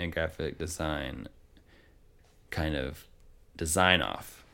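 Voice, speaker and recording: With an American accent, a man speaks at a very deep, low pitch, with vocal fry and fairly even intonation. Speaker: photographer and gallery owner. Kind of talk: casual interview chat.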